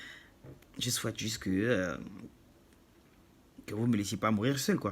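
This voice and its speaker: With a non-native accent, a man speaks at a moderate pace and ordinary pitch variation. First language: not French (speaking French). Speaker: YouTuber. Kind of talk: monologue to camera.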